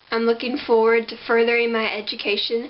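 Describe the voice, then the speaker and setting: A woman speaking over noticeable background noise. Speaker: incoming college student. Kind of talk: scholarship application video to camera.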